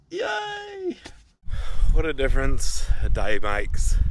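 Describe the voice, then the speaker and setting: A man's voice against noticeable background noise. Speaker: vlogger in alcohol recovery. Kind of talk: casual vlog. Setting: outdoors by a river.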